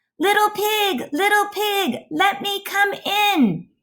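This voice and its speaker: In a squeaky put-on character voice with an extremely high pitch, the speaker talks at a very slow pace. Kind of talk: storytelling. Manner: growling.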